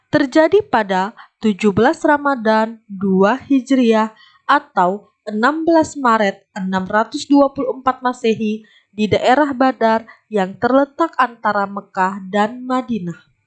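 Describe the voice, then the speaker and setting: At a very slow pace, a woman talks in a fairly high pitch, with ordinary pitch variation. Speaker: voice-over narrator for educational video. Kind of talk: classroom lesson narration for children.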